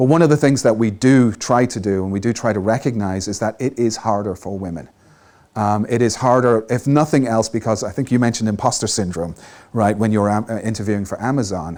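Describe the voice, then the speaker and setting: A man talks at a fairly quick pace. His medium pitch shows ordinary variation. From Ireland. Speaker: tech panelist, developer advocate. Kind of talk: panel discussion.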